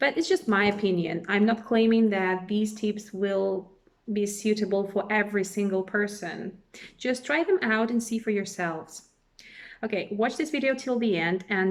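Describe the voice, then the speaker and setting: With a Russian accent, a woman speaks at a moderate pace in a medium pitch with ordinary pitch variation. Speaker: language teacher. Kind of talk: tutorial.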